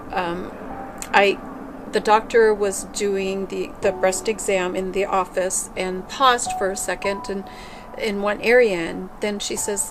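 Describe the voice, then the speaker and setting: A woman speaks at a fairly slow pace with medium pitch and fairly even intonation over noticeable background noise. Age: 50s. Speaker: cancer patient. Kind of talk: testimony.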